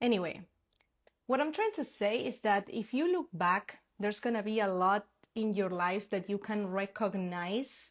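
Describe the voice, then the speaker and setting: The recording is very clean, with a silent background. A woman with a Spanish accent speaks at a fairly high pitch. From Argentina. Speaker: spiritual manifestation coach. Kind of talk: casual live stream talk. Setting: Instagram live stream.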